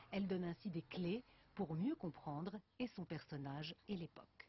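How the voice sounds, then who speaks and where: Speaking at a fairly low pitch, a woman sounds somewhat breathy. Her pace is fairly slow. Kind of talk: TV news report narration.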